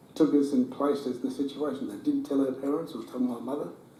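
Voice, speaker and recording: A man talks at a fairly high pitch and a very fast pace, with ordinary pitch variation. Noticeable background noise and audible room echo surround him. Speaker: retired footballer. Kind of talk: talk to audience, interview. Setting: room with audience.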